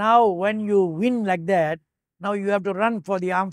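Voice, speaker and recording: The background is quiet as a man talks at a moderate pace. He has a Malaysian accent. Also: dry sound with no echo. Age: 80s+. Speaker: retired Olympic hurdler and navy officer. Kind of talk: oral history interview. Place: home room.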